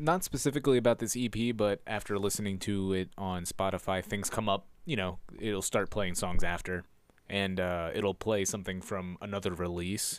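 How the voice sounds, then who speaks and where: With a normal speaking voice, a man talks at a moderate pace and fairly low pitch, his pitch varying in an ordinary way, on a very clean recording with a silent background. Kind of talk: casual chat.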